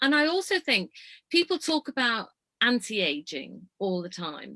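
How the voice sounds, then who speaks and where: A woman with a Yorkshire accent speaks at a fairly slow pace in a fairly high, bright, sharp voice with very wide pitch swings, captured in a dry, close sound with no echo on a very clean recording with a silent background. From Yorkshire, northern England (Leeds). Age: 60s. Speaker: motorhome traveller and ageism speaker. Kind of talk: casual chat. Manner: animated.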